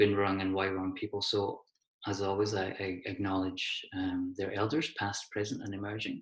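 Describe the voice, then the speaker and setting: With a Hebridean accent, a man talks at a moderate pace in a fairly low voice. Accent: Hebridean Scottish. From Scotland, Isle of Skye (Hebrides). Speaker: associate professor, design researcher. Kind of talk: lecture.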